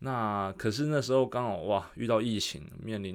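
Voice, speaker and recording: A man's plain, everyday voice, fairly low in pitch with ordinary pitch variation, on a very clean recording with a silent background. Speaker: fitness coach. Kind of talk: solo podcast monologue. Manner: casual, with fillers and self-corrections.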